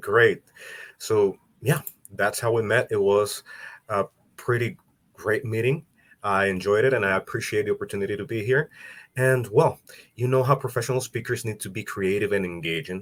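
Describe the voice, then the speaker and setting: In a Salvadoran accent, a man speaks at a moderate pace and medium pitch, somewhat breathy, with ordinary pitch variation and long, frequent pauses. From El Salvador. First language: Spanish. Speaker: business support for speakers. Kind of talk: interview podcast.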